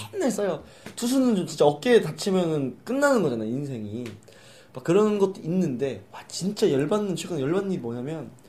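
Speaking at a moderate pace, a man uses a high pitch with very wide pitch swings and big swings in loudness. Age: 20s. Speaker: podcast host. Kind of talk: casual chat. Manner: animated.

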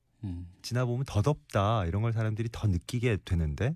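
Speaking at a fairly quick pace, a man has a medium pitch and a dark, mellow, somewhat breathy tone. The recording is very clean, with a silent background. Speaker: radio host. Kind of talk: casual chat. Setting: studio.

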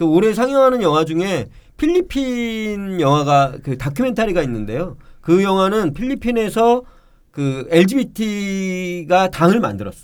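A man speaks at a very slow pace with a high pitch. His pitch swings very widely. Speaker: film festival director. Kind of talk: casual interview. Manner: loud.

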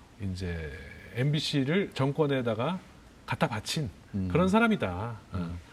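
This man's somewhat breathy voice moves through very wide pitch swings. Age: 50s. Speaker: journalist. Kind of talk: interview.

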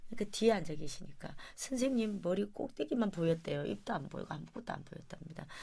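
A woman's very fast, medium-pitched speech with vocal fry and lively intonation. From Gyeongju area, South Korea. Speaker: traditional vocal music performer. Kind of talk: interview.

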